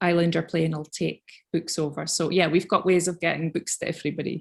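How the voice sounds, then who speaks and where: A woman with a fairly low pitch and vocal fry speaks on a very clean recording with a silent background. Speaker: young people's librarian. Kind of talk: interview answer.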